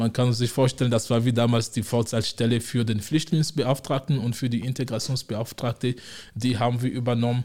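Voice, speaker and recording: This man's dark, mellow voice sits at a medium pitch, somewhat breathy, with fairly even intonation, very even loudness and a fairly quick pace. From Togo, West Africa. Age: 40s. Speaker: city integration officer. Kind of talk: interview.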